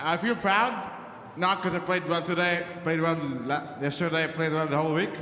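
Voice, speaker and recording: A high-pitched man at a moderate pace, with audible room echo and noticeable background noise. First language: not English. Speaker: college squash champion. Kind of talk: victory speech. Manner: halting.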